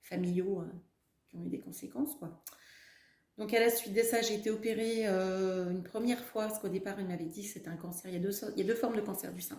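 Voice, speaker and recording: Very fast and somewhat breathy, a woman's dark, mellow voice comes through with audible room echo. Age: 40s. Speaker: cancer survivor. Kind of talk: testimony. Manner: halting, many fillers.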